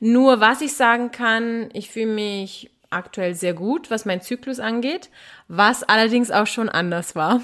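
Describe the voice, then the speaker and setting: Very slowly and at a fairly high pitch, a woman speaks with ordinary pitch variation on a very clean recording with a silent background. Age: 30s. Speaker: commercial model and mindset guest. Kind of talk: casual interview chat.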